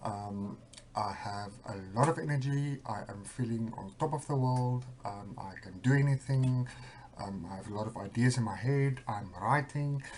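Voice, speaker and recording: A man speaks at medium pitch. His voice is somewhat breathy. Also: ordinary pitch variation, moderate pace. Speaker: vlogger with bipolar disorder. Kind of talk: personal video diary. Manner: hesitant, many fillers; speeding up.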